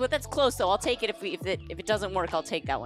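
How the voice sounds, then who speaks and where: A woman speaks over faint background music. The sound is dry, with no echo. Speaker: live streamer. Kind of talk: casual stream chat with viewers. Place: home room. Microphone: headset.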